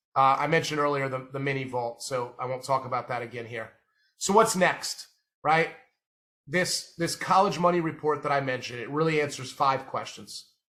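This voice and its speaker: A man with an American accent talks at a fairly high pitch in a bright, sharp tone with ordinary pitch variation. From Indiana. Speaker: college funding financial advisor. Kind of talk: webinar presentation. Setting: online webinar. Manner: fast.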